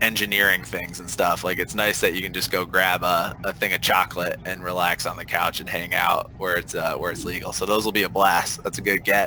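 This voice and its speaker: A man talking at a fairly quick pace with hardly any pauses, over noticeable background noise. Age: 30s. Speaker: podcast guest, basketball analyst. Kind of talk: casual chat.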